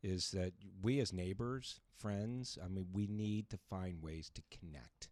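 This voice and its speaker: A man's fairly low-pitched, ordinary speaking voice at a fairly slow pace, with ordinary pitch variation. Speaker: radio host. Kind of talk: radio interview.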